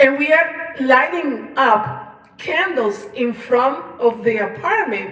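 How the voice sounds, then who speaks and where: Noticeable background noise is present. Through it, a woman is talking. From Colombia. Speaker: singer-songwriter. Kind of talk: personal storytelling livestream. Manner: halting, many fillers and repetitions.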